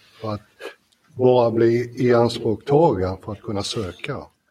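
A man talks very slowly at a medium pitch, his pitch varying in an ordinary way. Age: 70s. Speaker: air force veteran, UN peacekeeper. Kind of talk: live panel talk. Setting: stage with audience in a library. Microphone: poorer live sound.

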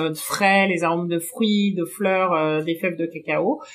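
A woman with a medium pitch speaks at a moderate pace and with fairly even intonation amid noticeable background noise. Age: 30s. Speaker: chocolate maker and shop co-founder. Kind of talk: interview. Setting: in her chocolate workshop. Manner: hesitant, many fillers.

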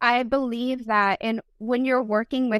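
A woman talks in a Spanish accent with fairly even intonation. The sound is dry and close, with no echo. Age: 40s. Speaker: dating coach and former Marine. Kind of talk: casual interview chat.

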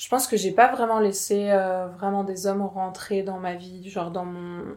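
A woman at medium pitch talks at a fairly slow pace. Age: 30s. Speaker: abuse survivor sharing her story. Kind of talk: testimony. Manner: halting.

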